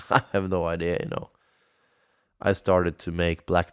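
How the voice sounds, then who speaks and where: Deep and very low, a man's voice runs monotone and flat with a Norwegian accent. The recording is very clean with a silent background, dry and close with no echo. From Norway, Halden. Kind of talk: casual solo monologue. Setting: home studio, bomb shelter. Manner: hesitant, many fillers.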